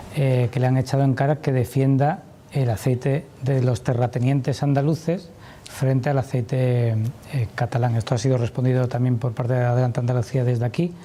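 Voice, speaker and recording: This is a normal speaking voice at a fairly quick pace, with fairly even intonation. The loudness stays very even. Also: man, medium pitch for a man. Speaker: journalist. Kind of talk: TV interview question.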